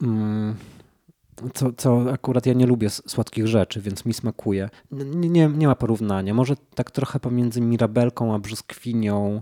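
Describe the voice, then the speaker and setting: Dark and mellow in tone, a man's medium-pitched voice moves at a moderate pace with ordinary pitch variation, the sound dry and close with no echo. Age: 30s. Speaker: painter. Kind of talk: casual chat.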